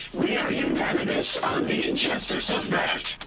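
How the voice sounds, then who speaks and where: Amid loud background noise and slight echo, a man does a cartoonish character voice at an extremely high pitch and a moderate pace. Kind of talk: deadpan machine speech. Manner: formal, precise, statistical.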